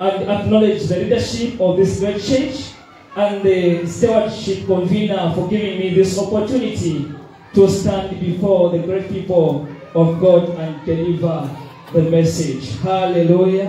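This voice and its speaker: Over light background noise and strong room echo, a man talks at a fairly slow pace in a high voice. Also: ordinary pitch variation. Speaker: preacher. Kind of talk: sermon. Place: church.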